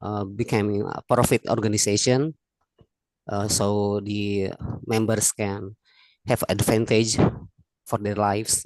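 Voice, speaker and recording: A man's medium-pitched voice with an Indonesian accent, at a fairly slow pace, dry and close with no echo, against a quiet background. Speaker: teacher. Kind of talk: webinar question. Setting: video call. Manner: halting.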